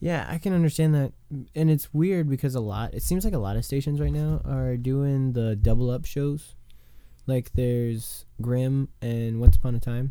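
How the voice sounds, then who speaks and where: A dark, mellow tone carries a playful edge, with ordinary pitch variation and a moderate pace. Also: man, medium pitch for a man. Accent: American. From US. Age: 20s. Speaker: podcast host. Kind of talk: casual chat. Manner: joking, playful.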